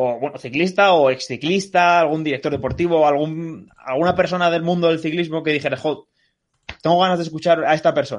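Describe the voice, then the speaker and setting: A man talks in a plain, everyday voice at a fairly high pitch. His pace is fairly quick and his intonation fairly even. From Asturias, Spain. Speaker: podcast co-host. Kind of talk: casual chat.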